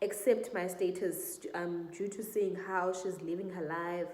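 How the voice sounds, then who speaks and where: A woman with a medium-pitched voice speaks at a fairly slow pace and a fairly even intonation, with audible room echo and noticeable background noise. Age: 20s. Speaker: vlogger. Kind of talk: Q&A vlog, casual personal story.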